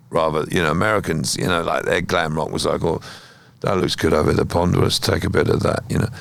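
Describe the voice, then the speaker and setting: A man with a southern English accent, vocal fry and ordinary pitch variation. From southern England (Kent). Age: 60s. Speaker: musician. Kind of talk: interview conversation.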